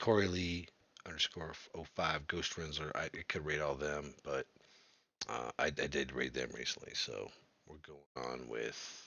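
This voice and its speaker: Speaking fairly slowly with long, frequent pauses, a man with a very deep, low voice and vocal fry shows ordinary pitch variation and big swings in loudness. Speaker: video game streamer. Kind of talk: casual live stream chat. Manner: slurred speech.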